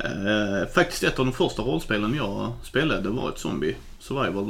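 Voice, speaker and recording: Vocal fry runs through the voice, and audible room echo can be heard. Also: man. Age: 30s. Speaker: podcast co-host, truck driver and board game fan. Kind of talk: casual chat.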